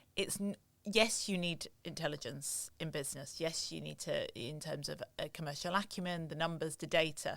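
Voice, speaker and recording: A woman with a northern English accent speaks at a moderate pace with ordinary pitch variation. The recording is very clean, with a silent background. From northern England. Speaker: luxury retail consultant. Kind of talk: interview conversation.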